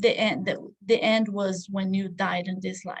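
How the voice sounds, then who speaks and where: A woman's somewhat breathy, medium-pitched voice with a non-native accent, fairly slow in pace and monotone, with flat intonation. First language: not English. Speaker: study group teacher. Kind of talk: lecture. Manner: halting.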